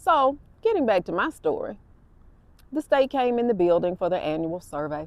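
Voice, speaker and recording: A woman with an Alabama accent, animated in tone, moderate in pace, with very wide pitch swings. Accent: Southern US (Alabama). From US South, Alabama. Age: 60s. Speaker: podcast host and nurse. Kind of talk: casual monologue, storytelling. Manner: conversational, animated.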